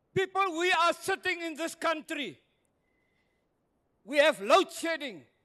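A man with an extremely high, bright and sharp voice projects loudly at a fairly slow pace, leaving long, frequent pauses. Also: ordinary pitch variation. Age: 70s. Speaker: retired pastor. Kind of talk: public hearing submission. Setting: community hall public hearing. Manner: impassioned, preacher-like.

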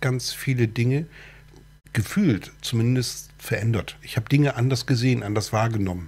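With a somewhat breathy voice, a man talks at a moderate pace and shows ordinary pitch variation. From northern Germany, Cuxhaven. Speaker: talk show host. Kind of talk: casual interview chat. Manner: halting, many fillers.

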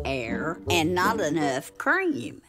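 Over music in the background, a woman speaks in a very deep, low voice with very wide pitch swings. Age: 80s+. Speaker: internet personality. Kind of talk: TV commercial read.

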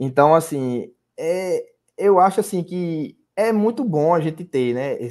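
A man with a high voice speaks at a very slow pace. His intonation is lively. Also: quiet background. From Brazil, Paraíba (Sapé, near João Pessoa); Paraíba, Brazil. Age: 30s. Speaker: sports betting tipster; podcast guest. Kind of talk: casual interview chat. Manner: halting, many fillers and repetitions. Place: home room. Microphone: earbuds.

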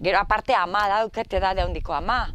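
A woman's medium-pitched voice, lively in intonation, with a dry sound with no echo and light background noise. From Navarre, Basque Country. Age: 60s. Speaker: relative of Basque prisoners. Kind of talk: testimony. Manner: halting. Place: garden. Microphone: lapel.

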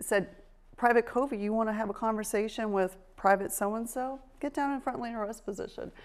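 A woman speaks at a moderate pace with ordinary variation in pitch. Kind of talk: interview answer. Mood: animated, laughing storytelling. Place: studio. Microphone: lapel.

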